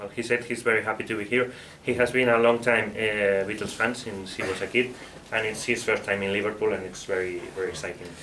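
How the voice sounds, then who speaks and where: Over noticeable background noise, a man with a Spanish accent talks very fast in a monotone, flat way at a medium pitch. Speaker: book author. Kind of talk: book presentation talk; interpreting for a co-panelist. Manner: halting, with fillers and repetitions.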